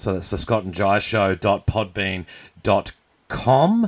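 In an ordinary speaking voice, a man talks at a fairly slow pace and a fairly low pitch. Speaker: podcast host. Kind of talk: live-streamed radio-style banter, with a mock news segment. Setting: live show with audience, streamed online. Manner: playful, bantering, ad-libbing.

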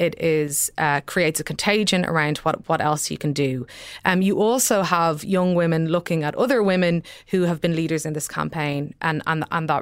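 With an Irish accent, a woman talks at a moderate pace in a fairly low pitch with ordinary pitch variation. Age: 30s. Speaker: newspaper columnist. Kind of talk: panel discussion. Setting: studio.

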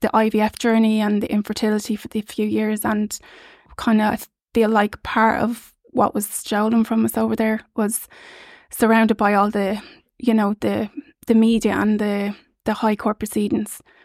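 A woman with an Irish accent, monotone and flat in intonation, at a moderate pace, in a very clean recording with a silent background and a dry, close sound with no echo. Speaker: surrogacy parent. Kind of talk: casual chat. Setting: studio.

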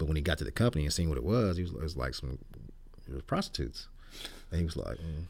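A man with an American accent speaks very fast in a very deep, low pitch with vocal fry and lively intonation. Long, frequent pauses break up his speech. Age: 60s. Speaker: podcast host. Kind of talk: casual chat. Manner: casual, laid-back.

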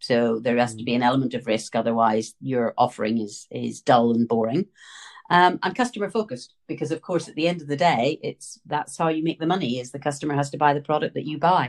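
A woman with a Northern Irish accent talks at a very fast pace in a very deep, low voice. Her intonation is lively and her loudness swings widely. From Northern Ireland. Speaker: retail buying consultant. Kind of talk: interview.

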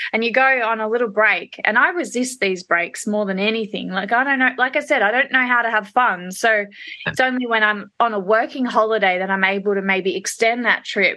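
With an Australian accent, a woman talks at a fairly quick pace with hardly any pauses, her fairly high pitch showing ordinary variation and a bright, sharp tone. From Australia, Perth and Melbourne. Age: 30s. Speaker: hairdresser and salon owner. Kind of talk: casual interview.

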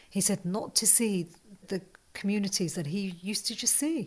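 Somewhat breathy, this woman talks at a moderate pace with a medium pitch and ordinary pitch variation. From West Midlands, England. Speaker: geography lecturer and college tutor. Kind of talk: interview.

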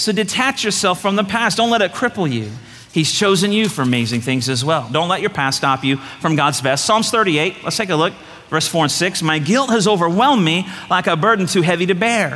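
Against noticeable background noise, a man talks fairly quickly in a high voice, with very wide pitch swings but very even loudness. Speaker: pastor. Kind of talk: sermon. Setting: church stage with congregation. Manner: fast.

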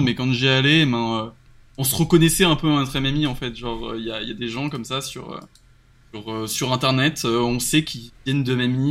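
Speaking at a moderate pace, a man uses a medium pitch and ordinary pitch variation. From western France, Nantes. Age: 20s. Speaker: web developer. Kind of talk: casual chat. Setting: live stream. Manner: halting, frequent repetitions.

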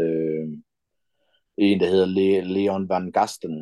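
A man speaks in a very deep, low voice with a dark, mellow tone. His intonation stays flat and monotone. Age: 50s. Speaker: pro wrestler. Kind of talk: casual interview. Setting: video call.

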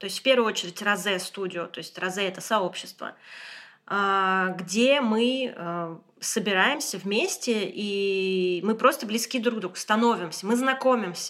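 This woman has an unremarkable speaking voice at medium pitch, with ordinary pitch variation, big swings in loudness and a fairly slow pace. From Moscow, Russia. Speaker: interior designer and community founder. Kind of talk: casual chat. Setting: guest's apartment.

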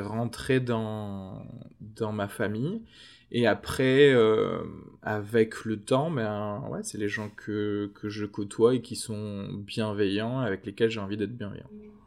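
On a very clean recording with a silent background, a man with a fairly low pitch speaks very slowly with fairly even intonation. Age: 30s. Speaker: podcast producer. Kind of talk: casual chat. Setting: café terrace.

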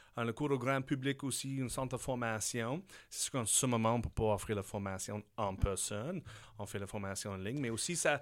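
A man in an English accent at a fairly quick pace, in a very clean recording with a silent background. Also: medium pitch for a man, ordinary pitch variation. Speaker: business owner. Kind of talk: interview.

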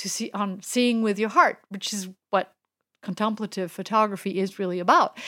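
With a French accent, a woman speaks at a medium pitch with ordinary pitch variation. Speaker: street photographer and workshop teacher. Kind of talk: casual interview chat. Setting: remote online call.

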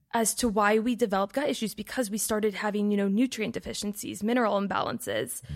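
A woman's ordinary speaking voice, fairly high in pitch, with fairly even intonation, on a very clean recording with a silent background. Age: 20s. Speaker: wellness content creator and podcaster. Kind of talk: casual interview.

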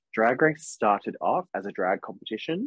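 The speaker has an Australian accent and a fairly quick pace. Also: man. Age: 30s. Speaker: podcast co-host. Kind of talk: casual chat.

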